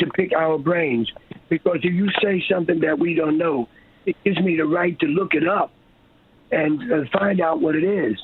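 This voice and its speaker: A man's high-pitched voice at a moderate pace, with long, frequent pauses, ordinary pitch variation and very even loudness. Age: 70s. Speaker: herbalist and business owner. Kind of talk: radio interview.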